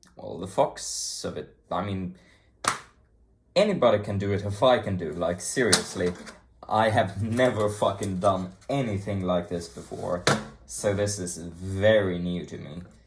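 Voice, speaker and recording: Somewhat breathy and with an American accent, the voice moves at a fairly slow pace with fairly even intonation, big swings in loudness and audible room echo. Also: man, fairly low pitch for a man. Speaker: hobbyist YouTuber taking apart electronics. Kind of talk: casual tutorial-style vlog. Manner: casual, profane, rambling.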